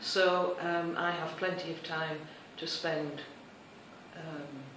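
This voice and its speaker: Amid noticeable background noise and audible room echo, a woman with a fairly low pitch speaks at a very slow pace in a monotone, flat intonation. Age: 60s. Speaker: retiree, language student. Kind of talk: interview. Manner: hesitant, many fillers.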